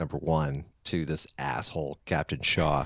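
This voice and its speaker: With a very deep, low pitch, a man speaks in an American accent. His pace is fairly slow. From US Maine. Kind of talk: casual chat. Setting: video call.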